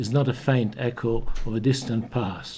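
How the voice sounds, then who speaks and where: A man talks at a medium pitch with a dark, mellow tone. His voice is somewhat breathy. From Hungary. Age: 80s+. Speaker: Holocaust survivor witness. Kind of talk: testimony. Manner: halting.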